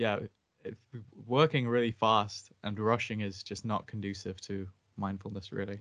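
This man has a normal speaking voice with fairly low pitch. He keeps a moderate pace and fairly even intonation. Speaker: meditation group call organizer. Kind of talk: casual chat.

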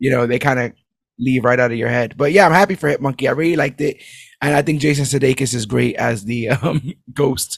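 With vocal fry and a medium pitch, a man speaks at a fairly quick pace. His tone is energetic, with ordinary pitch variation. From New York City (Brooklyn). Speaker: podcast host. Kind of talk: casual chat.

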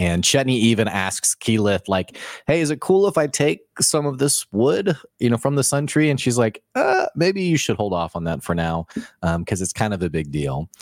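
A man's medium-pitched voice at a moderate pace, with very wide pitch swings. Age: 30s. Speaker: podcast co-host. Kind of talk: casual chat. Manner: animated.

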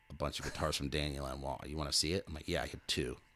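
A man with an American accent speaks at a very fast pace. His very deep, low voice carries vocal fry. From California. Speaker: professional drummer. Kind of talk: casual chat.

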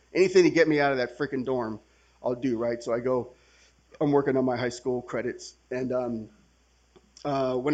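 This man has an American accent and a plain, everyday voice. He talks at a fairly quick pace with fairly even intonation. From California, San Francisco Bay Area (Milpitas). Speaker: recovering alcoholic, main speaker at a retreat. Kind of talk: testimony.

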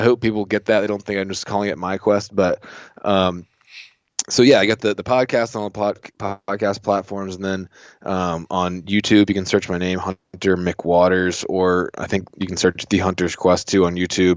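A man speaks in a very deep, low pitch with an American accent. His pace is moderate and his intonation monotone and flat. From US South, southeast Virginia. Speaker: hunting podcaster. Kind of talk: casual interview.

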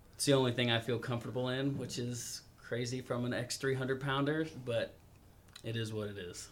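This man has an unremarkable speaking voice at a medium pitch. He talks at a moderate pace with fairly even intonation. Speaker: union member and triathlete. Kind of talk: casual interview.

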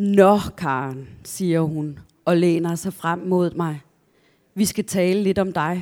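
A woman speaks at a very slow pace in a fairly low pitch, with a dark, mellow tone and fairly even intonation. The recording is very clean, with a silent background. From southern Jutland, Denmark (near Kolding). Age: 50s. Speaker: novelist. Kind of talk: author talk with readings from own novel. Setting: library event with live audience.

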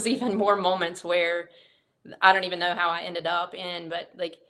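This woman's fairly low voice comes with an American accent. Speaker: fire battalion chief. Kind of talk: interview testimony.

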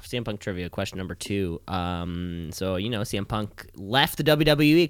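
Lively intonation marks a man's delivery at a moderate pace in an ordinary speaking voice, recorded very cleanly over a silent background. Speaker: wrestling podcast host. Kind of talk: casual chat.

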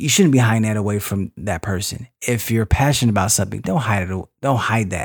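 A man with an American accent and fairly low pitch, at a fairly quick pace with hardly any pauses and ordinary pitch variation. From US West Coast, San Francisco Bay Area. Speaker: podcast host's husband. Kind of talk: casual chat. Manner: halting.

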